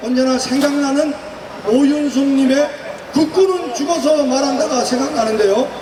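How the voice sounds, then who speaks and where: An extremely high-pitched man's voice at a fairly slow pace, with audible room echo and noticeable background noise. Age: 60s. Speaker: retired army officer, event emcee. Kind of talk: rally speech emcee.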